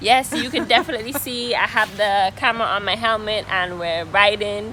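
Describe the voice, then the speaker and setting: A woman's fairly high voice with ordinary pitch variation over noticeable background noise. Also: moderate pace. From Antigua. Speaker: travel vlogger. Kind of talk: interview answer.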